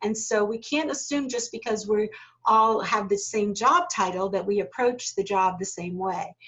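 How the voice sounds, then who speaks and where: In an American accent, a woman uses a plain, everyday voice, fairly high in pitch with ordinary pitch variation, at a moderate pace. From United States. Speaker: corporate learning specialist, leadership trainer. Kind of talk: online workshop Q&A.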